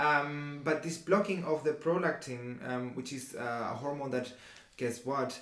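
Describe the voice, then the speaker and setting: This man has a non-native accent and a fairly high pitch with ordinary pitch variation. His very slow speech comes with noticeable background noise. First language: not English. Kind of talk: casual explanatory chat. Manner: halting.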